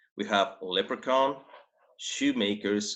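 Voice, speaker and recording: A man with an American accent speaks in a bright, sharp tone. His delivery is very slow, with lively intonation. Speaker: primary school English teacher. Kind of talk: online lesson for children. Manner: friendly, encouraging.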